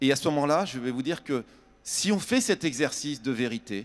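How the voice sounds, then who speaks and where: With lively intonation, a man at medium pitch speaks in a dry, close sound with no echo. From France, Châtellerault. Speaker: building industry executive. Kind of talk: panel discussion. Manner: halting.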